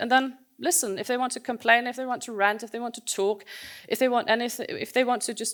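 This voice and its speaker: A woman with a fairly high pitch uses an unremarkable speaking voice with ordinary pitch variation. She talks at a fairly quick pace on a very clean recording with a silent background. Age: 40s. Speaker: conference speaker. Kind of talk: conference talk.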